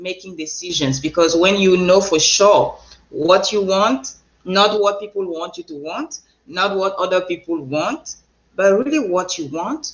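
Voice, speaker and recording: Speaking fairly slowly with a Cameroonian accent, the woman keeps her pitch medium. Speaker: transformational coach and speaker. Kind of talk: interview.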